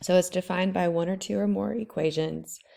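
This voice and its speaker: Recorded very cleanly with a silent background, a woman with a fairly low pitch speaks at a moderate pace in a dark, mellow tone. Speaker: math teacher. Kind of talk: tutorial. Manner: casual, informal.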